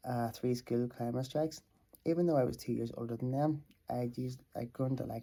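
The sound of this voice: An unforced reading voice is heard here.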